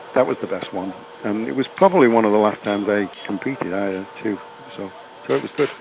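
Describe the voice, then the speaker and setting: Over noticeable background noise, a man talks very fast in a fairly low voice with ordinary pitch variation. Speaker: veteran farrier and former competition champion. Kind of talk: recorded podcast interview, storytelling about his career.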